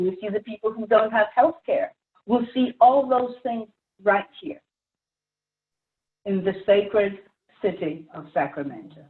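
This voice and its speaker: A woman's passionate, fairly high-pitched voice at a fairly slow pace, with lively intonation, big swings in loudness, and long, frequent pauses. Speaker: community activist, panelist. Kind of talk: panel discussion.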